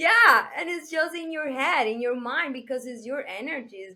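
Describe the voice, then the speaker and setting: At a moderate pace, a woman with a non-native accent speaks in a bright, sharp tone. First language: Spanish. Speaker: business coach. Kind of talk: podcast interview. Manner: halting.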